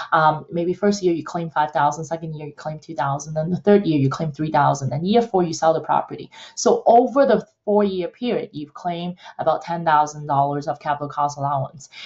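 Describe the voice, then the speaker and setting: The voice sounds somewhat breathy and moves at a fairly quick pace. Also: woman, very deep, low pitch for a woman, ordinary pitch variation. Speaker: real estate accountant. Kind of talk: educational explainer to camera. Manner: casual, hesitant with fillers.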